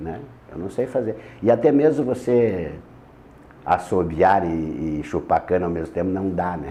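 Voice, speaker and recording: A dark, mellow tone at a fairly slow pace, with lively intonation, big swings in loudness and long, frequent pauses. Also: man, very deep, low pitch for a man. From Rio Grande do Sul, Missões region. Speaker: radio presenter. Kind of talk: interview. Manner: halting, repetitive.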